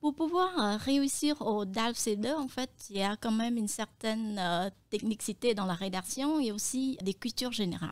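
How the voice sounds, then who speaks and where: A woman with a Cambodian accent speaks at a moderate pace with a fairly high pitch, lively intonation and hardly any pauses. The recording is very clean, with a silent background. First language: Khmer (speaking French). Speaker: translator and interpreter. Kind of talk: interview. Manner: hesitant, frequent euh fillers.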